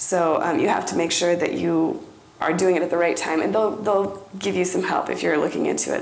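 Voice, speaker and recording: A woman is speaking with audible room echo. Noticeable background noise runs behind her. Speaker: conference presenter. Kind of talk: presentation.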